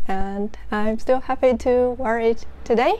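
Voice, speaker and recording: Speaking at a very slow pace, a woman with a Chinese accent uses lively intonation. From northeastern China. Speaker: knitting podcaster and designer. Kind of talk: casual chat.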